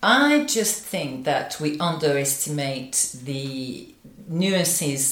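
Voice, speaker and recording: A woman with a French accent speaks at a very deep, low pitch with ordinary pitch variation, her voice carrying audible room echo over noticeable background noise. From France. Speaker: business coach and company founder. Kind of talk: casual chat.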